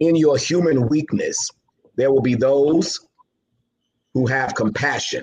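A man with an American accent speaks at medium pitch. He keeps a fairly slow pace. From New York City (Queens). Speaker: motivational speaker. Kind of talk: interview. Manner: animated.

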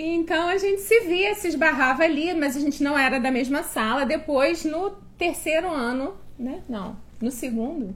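A woman with a high pitch and lively intonation talks at a moderate pace. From Niterói, Rio de Janeiro, Brazil. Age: 40s. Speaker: host's wife. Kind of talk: casual chat.

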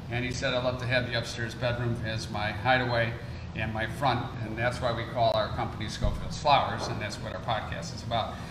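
A man's medium-pitched voice with an American accent, flat and monotone, fairly quick, over noticeable background noise and audible room echo. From Chicago. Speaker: podcast host, florist. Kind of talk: casual chat. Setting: brewery speakeasy.

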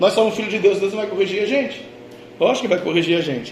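A very fast, animated man's voice, high for a man, over noticeable background noise. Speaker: pastor. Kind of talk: sermon. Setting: church. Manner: animated, fervent preacher in full flow, repeating phrases.

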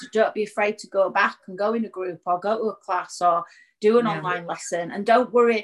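Using an ordinary speaking voice, a woman talks at a medium pitch and fairly quick pace with fairly even intonation and big swings in loudness. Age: 40s. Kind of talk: interview.

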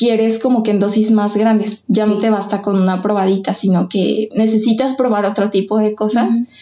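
In a fairly high, monotone voice with flat intonation, a woman speaks at very even loudness. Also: hardly any pauses. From Mexico, Michoacán. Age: 20s. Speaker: literature graduate writing thesis. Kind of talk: personal testimony in casual interview.

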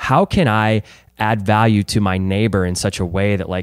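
On a very clean recording with a silent background and a dry, close sound with no echo, a man with a fairly low pitch uses an ordinary speaking voice at a moderate pace with ordinary pitch variation. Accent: American. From Chesterfield, Missouri, US Midwest. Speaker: podcast host. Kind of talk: interview.

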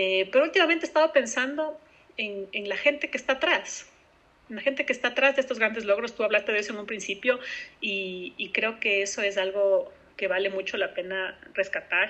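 Fairly high-pitched, a woman talks at a fairly quick pace with lively intonation. Background noise is noticeable. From Ecuador. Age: 30s. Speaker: open-water swimmer. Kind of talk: interview. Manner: halting.

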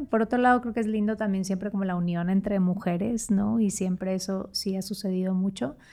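In a Monterrey accent, a woman speaks fairly quickly with hardly any pauses, her dark, mellow, medium-pitched voice keeping a fairly even intonation. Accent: Monterrey (norteño). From Mexico, Monterrey (San Pedro Garza García). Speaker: consultant. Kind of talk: casual chat.

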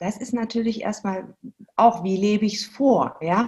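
Her pace is very slow. The woman's fairly high voice is somewhat breathy. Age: 40s. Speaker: movement educator for children. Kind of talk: interview.

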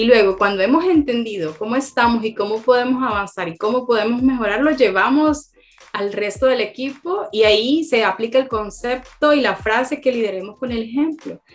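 With hardly any pauses, a woman talks at a moderate pace and a fairly high pitch with ordinary pitch variation, over noticeable background noise. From Honduras, Tegucigalpa. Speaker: agile consultant. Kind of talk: interview.

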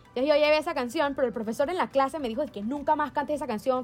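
A woman speaks very fast. Her tone is animated. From Panama. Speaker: podcast co-host and musical theatre performer. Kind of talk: casual chat.

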